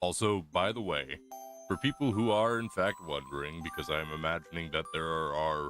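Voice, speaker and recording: Music plays behind a man with a very deep, low pitch. He speaks at a moderate pace with lively intonation. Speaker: streamer. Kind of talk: casual chat. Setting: live stream.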